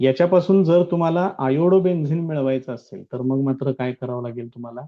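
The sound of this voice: A man speaks at a fairly quick pace. His pitch is medium, with fairly even intonation.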